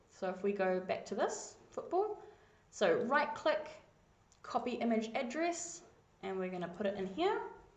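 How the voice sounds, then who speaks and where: Recorded with audible room echo, a woman speaks at a moderate pace with a fairly high pitch and very wide pitch swings. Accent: New Zealand. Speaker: coding tutor. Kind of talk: screencast tutorial.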